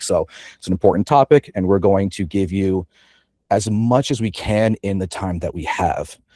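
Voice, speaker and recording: With a dark, mellow tone and a fairly low pitch, a man talks at a moderate pace in a dry, close sound with no echo. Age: 30s. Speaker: fitness coach. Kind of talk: webinar presentation. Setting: live online webinar.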